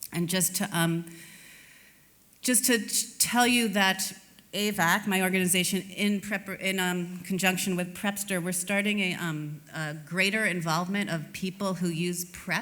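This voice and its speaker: A woman with an American accent, medium pitch and a bright, sharp tone, at a fairly slow pace with fairly even intonation and audible room echo. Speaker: HIV prevention advocate, conference speaker. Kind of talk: conference presentation. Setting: stage with audience at summit.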